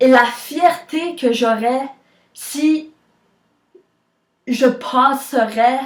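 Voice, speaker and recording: This woman has a high-pitched voice. Her pitch variation is ordinary. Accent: Quebec. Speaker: vlogger. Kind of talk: personal vlog.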